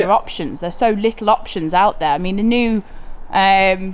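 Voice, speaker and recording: This woman has a medium pitch and talks at a fairly quick pace. Her pitch varies in an ordinary way. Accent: British. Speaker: car content creator. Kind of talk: casual conversation.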